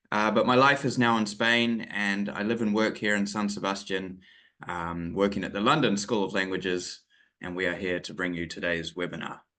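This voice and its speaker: In a New Zealand accent, a man with a fairly low pitch and a bright, sharp tone speaks at a moderate pace with ordinary pitch variation against a quiet background. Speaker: English teacher trainer. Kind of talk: webinar lecture. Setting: online webinar. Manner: hesitant, many fillers.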